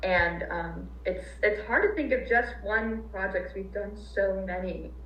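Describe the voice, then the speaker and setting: Audible room echo surrounds a woman's voice. Noticeable noise also sits in the background. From Arizona, Hawaii. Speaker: non-profit volunteer coordinator. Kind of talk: interview. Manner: halting.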